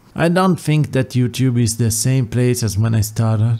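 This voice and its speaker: A man is speaking. He talks with an Italian accent. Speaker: YouTube content creator. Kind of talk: monologue video, farewell address.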